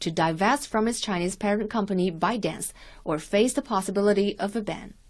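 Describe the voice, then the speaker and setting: A woman with a plain, everyday voice speaks at a fairly quick pace and medium pitch, with ordinary pitch variation against a quiet background. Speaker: news reporter. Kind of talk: scripted news report. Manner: formal, measured, neutral.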